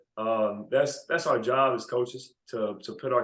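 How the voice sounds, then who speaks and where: A man speaks with a Mississippi accent. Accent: Mississippi Southern US. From US South. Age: 20s. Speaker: basketball coach. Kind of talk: interview. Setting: podcast.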